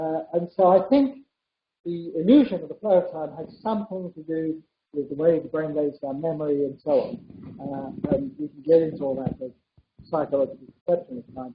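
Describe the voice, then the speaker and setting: The man's pitch is fairly high. He speaks with lively intonation. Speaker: physicist. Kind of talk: public dialogue. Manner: fast.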